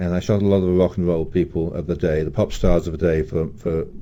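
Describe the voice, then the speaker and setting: In a southeast English accent, a man speaks with a very deep, low pitch. His tone is dark and mellow, with ordinary pitch variation. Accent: British, southeast English. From southeast England, London. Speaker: music photographer. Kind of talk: radio interview. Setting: radio studio. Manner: hesitant, many fillers and repeats.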